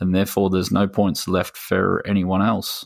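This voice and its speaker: In a very clean recording with a silent background and a dry, close sound without echo, a man with an Australian accent speaks at a moderate pace in a very deep, low pitch. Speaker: gaming podcast co-host. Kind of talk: casual chat.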